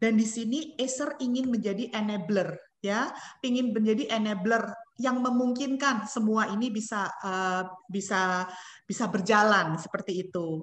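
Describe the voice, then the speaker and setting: Room echo is audible around a somewhat breathy woman with a fairly high pitch. She speaks at a fairly slow pace with ordinary pitch variation. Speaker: company representative. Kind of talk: webinar presentation. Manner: hesitant, many fillers.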